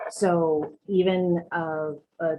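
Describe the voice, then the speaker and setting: A woman's fairly low pitch in a monotone, flat intonation. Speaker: public commenter at town meeting. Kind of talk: public comment at zoning hearing. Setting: virtual meeting.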